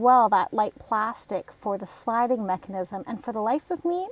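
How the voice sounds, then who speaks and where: The sound is dry and close, with no echo. A woman with a fairly high pitch speaks at a moderate pace. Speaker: crafting YouTuber. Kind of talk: craft tutorial. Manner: mumbling.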